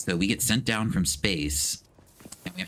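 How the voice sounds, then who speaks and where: Speaking with ordinary pitch variation, the man has a very deep, low voice. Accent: American. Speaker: video game streamer. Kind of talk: live game stream chat. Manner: animated, casual.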